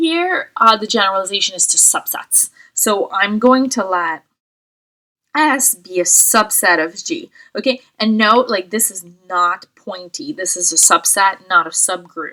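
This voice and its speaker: With a non-native accent, a woman speaks fairly slowly, her fairly high voice bright and sharp and her intonation lively. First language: not English. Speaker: math professor. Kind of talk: lecture. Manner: hesitant, many fillers.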